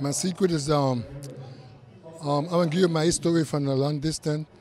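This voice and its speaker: A man at a very fast pace, fairly even intonation, dry sound with no echo and light background noise. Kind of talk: interview answer. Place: hall. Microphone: handheld.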